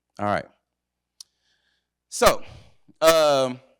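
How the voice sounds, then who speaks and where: On a very clean recording with a silent background, a man speaks in an energetic tone with ordinary pitch variation, in a dry, close sound with no echo. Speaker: workshop presenter and entrepreneur. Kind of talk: presentation to an audience. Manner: casual, energetic.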